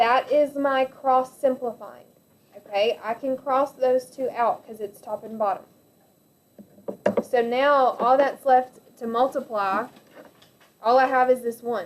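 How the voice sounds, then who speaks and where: A woman with a high voice speaks at a fairly slow pace, with long, frequent pauses, big swings in loudness and fairly even intonation. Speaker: math teacher. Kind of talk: lecture.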